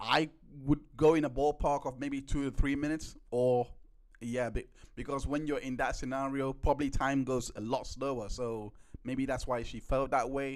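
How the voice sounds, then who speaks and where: At a moderate pace, a man with a medium-pitched voice talks in a monotone, flat intonation. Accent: non-native. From UK. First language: not English. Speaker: trial recap podcast host. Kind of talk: live-stream commentary on trial footage. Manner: halting, many repeats and self-corrections.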